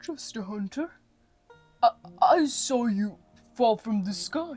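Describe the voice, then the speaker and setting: Faint music plays in the background of a put-on character voice that moves at a fairly slow pace with very wide pitch swings. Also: woman, high pitch for a woman. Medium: read story. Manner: soft, hesitant, stammering.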